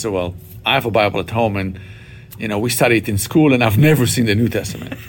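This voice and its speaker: A man's very fast speech with an Israeli accent, medium pitch, and ordinary pitch variation, with music in the background. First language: Hebrew. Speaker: Bible college president. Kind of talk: interview.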